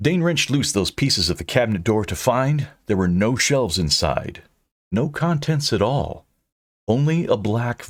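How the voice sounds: Lively intonation from a natural reading voice, the background quiet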